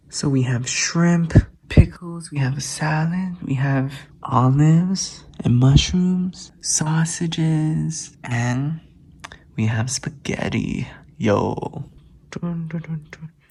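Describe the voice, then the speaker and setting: Amid noticeable background noise, a man with a fairly high pitch and ordinary pitch variation speaks very slowly, his loudness swinging greatly. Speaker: travel vlogger. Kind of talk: casual vlog talk. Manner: soft-spoken.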